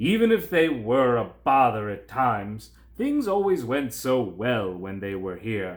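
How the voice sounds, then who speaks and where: A man's put-on character voice at medium pitch, with very wide pitch swings, a fairly slow pace and hardly any pauses. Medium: read story. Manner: regal, declamatory.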